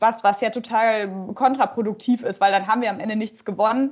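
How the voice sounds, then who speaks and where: This woman has an ordinary speaking voice, fairly high in pitch with ordinary pitch variation. She talks at a fairly quick pace. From Emsland, Lower Saxony, Germany. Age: 20s. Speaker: political candidate and legal researcher. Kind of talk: interview.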